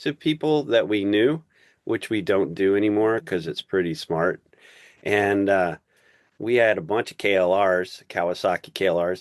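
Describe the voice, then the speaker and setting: A man talks in a normal speaking voice, fairly low in pitch, at a fairly slow pace with lively intonation. The background is quiet, and the sound is dry and close with no echo. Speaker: podcast host. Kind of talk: podcast interview host.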